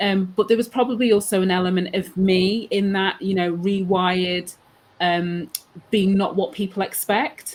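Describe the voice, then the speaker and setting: The speaker has a Mancunian accent and fairly even intonation. The pace is moderate. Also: woman, medium pitch for a woman. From northern England, Manchester. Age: 40s. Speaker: HR consultant. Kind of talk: interview.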